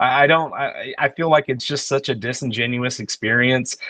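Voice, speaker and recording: A man with an American accent has an ordinary speaking voice. He talks at a fairly quick pace with a medium pitch and ordinary pitch variation. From Texas. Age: 40s. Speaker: musician and producer. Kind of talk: podcast interview. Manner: casual, filler-heavy.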